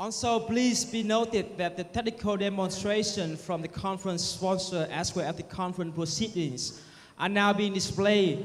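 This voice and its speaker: A man speaks at a moderate pace in a high voice, his intonation fairly even. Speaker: event emcee. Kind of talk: event announcements. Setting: stage with audience. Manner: formal. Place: hall. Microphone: handheld.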